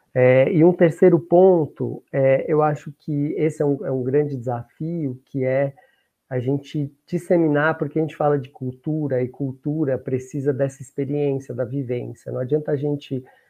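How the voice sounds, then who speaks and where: A man with a fairly high voice speaks at a moderate pace with fairly even intonation. Music plays in the background. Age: 60s. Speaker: diversity program coordinator. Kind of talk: panel discussion.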